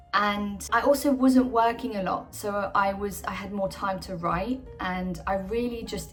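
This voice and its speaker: Music plays in the background while the speaker talks at a fairly slow pace. Pitch variation is ordinary. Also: woman. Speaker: actor. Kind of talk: casual talk to camera.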